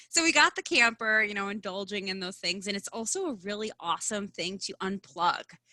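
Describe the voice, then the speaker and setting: A woman talks at a fairly quick pace with hardly any pauses, her medium-pitched voice bright and sharp. Her intonation is lively and her tone animated, in a dry, close sound with no echo. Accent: Midwestern. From US Midwest. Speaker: branding consultant and speaker. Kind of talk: podcast interview.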